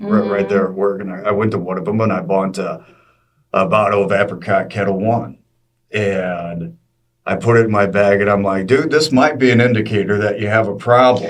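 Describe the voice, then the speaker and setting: A man talks fairly quickly in a fairly low register, his pitch varying in an ordinary way. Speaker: radio traffic reporter. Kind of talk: interview answer.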